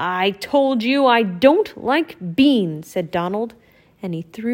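The intonation is lively. It comes in a natural reading voice.

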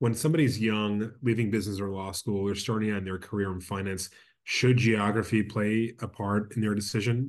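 A man with a normal speaking voice, fairly low in pitch, at a fairly quick pace with fairly even intonation against a quiet background. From Brooklyn, New York. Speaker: rabbi and podcast host. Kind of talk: interview.

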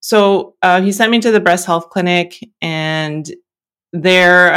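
A woman speaks in a normal speaking voice, fairly low in pitch with fairly even intonation. The recording is very clean, with a silent background. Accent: Canadian. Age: 40s. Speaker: engineer and cancer patient. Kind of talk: interview testimony.

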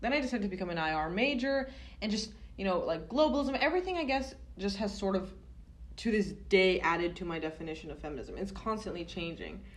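Speaking at a very fast pace with an American accent, a woman swings her pitch very widely and shows vocal fry, with audible room echo around her. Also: medium pitch for a woman. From Southern California. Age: 20s. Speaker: student podcast co-host. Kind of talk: casual chat.

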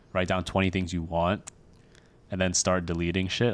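A man speaks in an American accent with a very deep, low pitch. His intonation stays flat and monotone. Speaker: podcast co-host. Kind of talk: casual chat.

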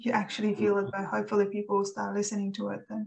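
A woman's somewhat breathy voice at a medium pitch. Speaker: podcast host, applied mathematician. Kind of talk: interview. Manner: hesitant, many fillers.

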